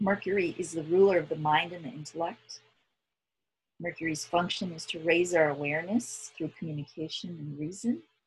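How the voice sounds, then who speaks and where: A woman speaks at a fairly quick pace in a somewhat breathy voice. Her pitch varies in an ordinary way, while her loudness swings widely. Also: fairly low pitch for a woman. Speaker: guided meditation leader. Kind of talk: guided meditation.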